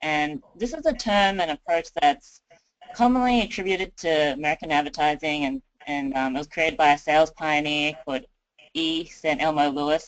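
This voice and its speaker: A woman speaks with an Australian accent and a very deep, low pitch. Her pace is moderate. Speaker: county communications designer. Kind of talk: webinar presentation. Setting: webinar.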